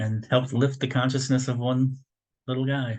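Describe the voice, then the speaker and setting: A man speaks at a medium pitch and a moderate pace. His voice is somewhat breathy, with monotone, flat intonation. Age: 60s. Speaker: spiritual lecturer, retired military. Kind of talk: spiritual teaching lecture. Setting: video call. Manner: casual, halting with many fillers.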